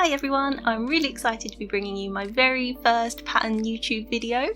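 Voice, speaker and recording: A woman with a British accent speaks at a fairly quick pace in a high pitch, with ordinary pitch variation. Noticeable background noise runs behind her. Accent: UK. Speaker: crochet tutorial creator. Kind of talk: tutorial.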